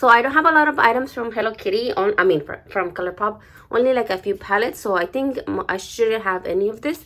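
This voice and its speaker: The speaker has a non-native accent and a bright, sharp tone, talking at a fairly quick pace with lively intonation. The recording is very clean, with a silent background. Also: woman. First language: not English. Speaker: beauty vlogger. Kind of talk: unboxing video. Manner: hesitant, many fillers.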